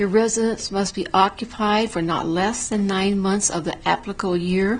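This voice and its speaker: A woman speaks with fairly even intonation and a medium pitch at a moderate pace, noticeable background noise behind her. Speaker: town council member. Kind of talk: council meeting report. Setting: town council meeting.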